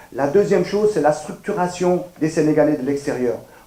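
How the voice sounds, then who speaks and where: Pitch rises and falls in a normal way at a medium speed. Background noise can be clearly heard. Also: man. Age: 60s. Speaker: political candidate. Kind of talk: campaign statement. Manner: formal.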